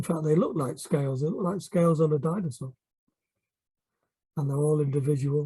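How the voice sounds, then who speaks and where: The voice is somewhat breathy with a dark, mellow tone and fairly even intonation, moving at a fairly quick pace yet broken by long, frequent pauses. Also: man, fairly high pitch for a man. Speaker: art teacher. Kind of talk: tutorial. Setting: at home.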